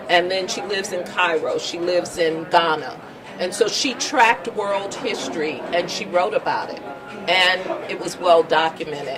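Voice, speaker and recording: A woman with a medium pitch speaks with big swings in loudness over noticeable background noise. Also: ordinary pitch variation, moderate pace, hardly any pauses. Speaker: documentary film director. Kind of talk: interview answer.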